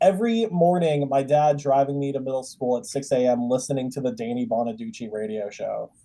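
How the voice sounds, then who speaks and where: A man's normal speaking voice with an American accent, fairly high pitch, lively intonation, a fairly quick pace and hardly any pauses. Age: 20s. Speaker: comedian, podcast host. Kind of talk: casual chat.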